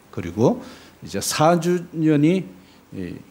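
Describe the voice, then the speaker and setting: Very slow speech in a dark, mellow tone swings very widely in pitch, with audible room echo. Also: man. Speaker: missionary preacher. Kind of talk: sermon. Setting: church.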